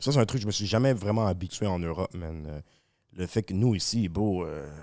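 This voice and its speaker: In a Montreal accent, a man with a very deep, low voice and a dark, mellow tone speaks with ordinary pitch variation on a very clean recording with a silent background. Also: fairly quick pace. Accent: Montreal Québécois accent, softer. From Quebec, Montreal. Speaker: rapper. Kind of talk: casual chat.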